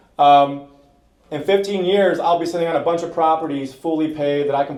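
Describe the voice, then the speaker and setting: Noticeable background noise sits under a man speaking at a fairly high pitch with fairly even intonation. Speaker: real estate investor. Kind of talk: presentation to an audience. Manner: fast.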